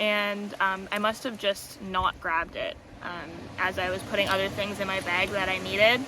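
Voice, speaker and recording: At a moderate pace, a woman with a medium pitch speaks amid audible room echo. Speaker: tarot content creator. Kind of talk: casual vlog monologue. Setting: outdoors by the ocean. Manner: loud; hesitant, many fillers.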